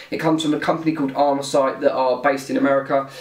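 A man's voice carries noticeable echo from the room. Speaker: gear reviewer. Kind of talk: casual product review vlog. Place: home room.

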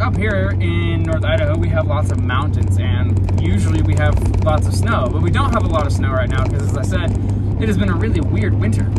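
Music behind a man's fairly quick speech. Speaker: vlogger driving. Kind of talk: casual vlog chat. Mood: playful, joking. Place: car. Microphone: phone near.

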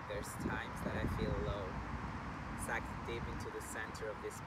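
The speech moves at a moderate pace. Loud background noise fills the recording. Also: man, dry sound with no echo. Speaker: yoga teacher. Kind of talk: slam poetry reading. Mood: earnest, emotional, vulnerable. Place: waterside.

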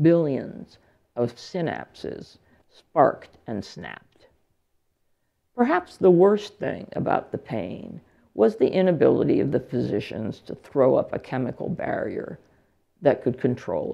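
A woman with an American accent, fairly slow, with big swings in loudness over a quiet background. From US, central Pennsylvania. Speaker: English and gender studies professor, keynote speaker. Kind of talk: lecture read from a prepared text. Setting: lecture hall with audience. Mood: calm, reflective. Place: hall.

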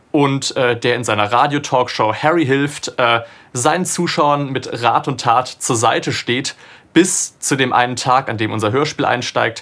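A man talks at a moderate speed. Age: 20s. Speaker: audio drama producer and sound designer; radio drama producer. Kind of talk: interview monologue about a production. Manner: casual with frequent filler sounds. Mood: relaxed, engaged. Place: studio.

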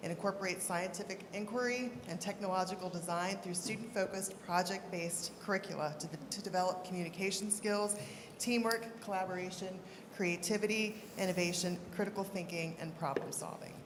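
Noticeable background noise and audible room echo surround a woman's voice. She speaks fairly quickly at a medium pitch, with fairly even intonation. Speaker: school board official. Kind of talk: formal announcement at board meeting. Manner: halting when reading names.

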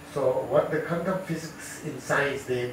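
A man's voice carries audible room echo, with light background noise underneath. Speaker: religious teacher. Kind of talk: sermon. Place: hall.

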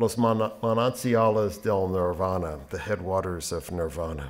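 This is a man talking. His intonation is lively. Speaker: poet and professor. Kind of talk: poetry reading. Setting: library reading with audience. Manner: measured, performative; expressive, rhythmic delivery. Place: hall. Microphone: podium.

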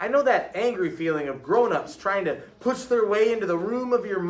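A passage given as reading aloud in a natural voice

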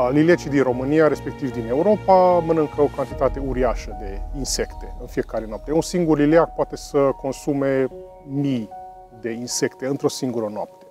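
A man talks at a moderate speed while music sounds faintly behind him. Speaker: bat biologist. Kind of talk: interview answer. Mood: calm, friendly, informative. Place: tunnel cave. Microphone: lapel.

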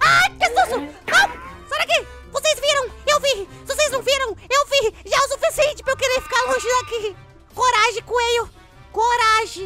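Clear music plays in the background as a cartoonish character voice speaks at a moderate pace. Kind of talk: kids cartoon voice. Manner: excitable, jumpy, shouting.

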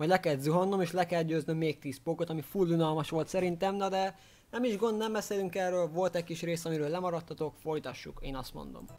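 Moving at a very fast pace, a man speaks in a high pitch with fairly even intonation. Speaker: gaming video creator. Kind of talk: casual vlog chat, gameplay commentary. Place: home room. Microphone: studio mic.

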